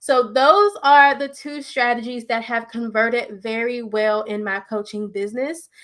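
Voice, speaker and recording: A woman with an unremarkable speaking voice talks at a fairly slow pace, pitched fairly high, with hardly any pauses. Her pitch varies in an ordinary way while her loudness swings widely. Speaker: business coach. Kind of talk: solo video talk on business tips.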